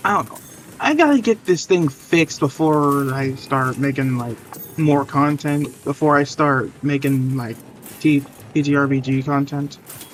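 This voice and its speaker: A man speaks at a fairly high pitch. Noticeable background noise runs through the clip. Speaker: gaming streamer. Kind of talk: live gameplay commentary. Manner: stuttering; halting, casual.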